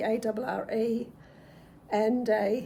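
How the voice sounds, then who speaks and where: Somewhat breathy and fairly high in pitch, a woman with an Australian accent speaks in a dark, mellow tone. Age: 60s. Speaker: retiree and lifestyle vlogger. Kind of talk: casual talk to camera.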